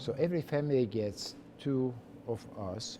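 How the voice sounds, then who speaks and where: The voice carries a dark, mellow tone and a slight Hungarian accent, with ordinary pitch variation. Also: man. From Hungary, Budapest. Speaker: chef. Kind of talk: interview. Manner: halting.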